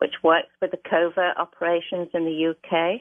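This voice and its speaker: In a British accent, a woman with a fairly low voice speaks at a fairly slow pace. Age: 70s. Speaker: caller. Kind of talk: testimony.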